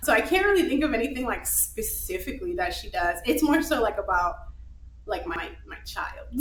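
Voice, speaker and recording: Audible room echo surrounds a woman speaking at a moderate pace with an American accent. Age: 20s. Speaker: physician assistant. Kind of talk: live podcast interview. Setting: live recording with audience.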